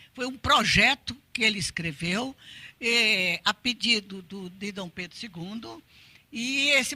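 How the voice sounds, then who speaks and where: Very slow in pace, a woman speaks with a bright, sharp tone and lively intonation. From Brazil, Pernambuco (Recife). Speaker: art educator and researcher. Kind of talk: lecture. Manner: halting, many repetitions.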